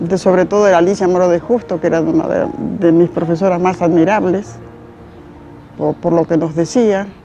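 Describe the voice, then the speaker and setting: Over music in the background, a woman of medium pitch talks at a moderate pace. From Spain, Galicia (Pontevedra), moved to Argentina at seven. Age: 80s+. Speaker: elderly interviewee recalling school days. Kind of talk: interview testimony.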